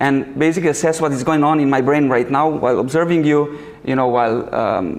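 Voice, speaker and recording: A man speaks at a moderate pace with a Slovenian accent, with audible room echo and noticeable background noise. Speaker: researcher and summer school organizer. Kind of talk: lecture. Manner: halting, many fillers.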